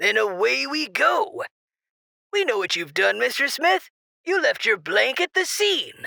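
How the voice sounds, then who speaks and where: The voice is a put-on character voice, high in pitch. Its pace is fairly slow. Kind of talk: radio DJ patter. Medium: audio drama. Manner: breezy, teasing.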